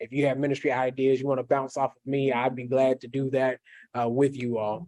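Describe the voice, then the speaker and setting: A man's dark, mellow tone in an American accent, medium pitch with monotone, flat intonation, big swings in loudness and a fairly quick pace. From Kentucky, US (Jessamine County near Lexington). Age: 20s. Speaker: pastor. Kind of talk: workshop presentation. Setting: hybrid in-person and video session.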